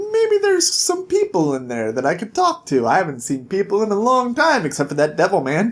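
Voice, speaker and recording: A put-on character voice at a middle pitch runs at a fairly quick pace with hardly any pauses. Light background noise is present. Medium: read story. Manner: brash, cheeky.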